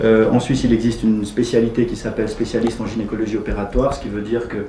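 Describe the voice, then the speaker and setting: Amid noticeable background noise and audible room echo, a man with a slight Swiss French accent talks very fast at a medium pitch. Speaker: gynecologist and lecturer. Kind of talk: presentation. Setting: meeting room at the parliament.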